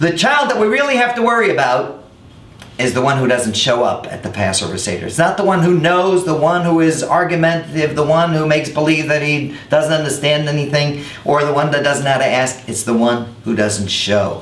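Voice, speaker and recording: Over noticeable background noise, a man talks at a fairly quick pace in a fairly high voice. His tone is upbeat and his intonation lively. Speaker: rabbi. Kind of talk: educational web series talk to camera.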